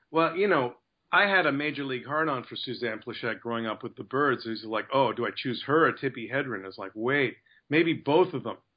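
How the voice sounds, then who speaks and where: A man with a Canadian accent and a plain, everyday voice talks at medium pitch and a fairly quick pace, with ordinary pitch variation. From Canada. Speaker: actor. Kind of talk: casual interview.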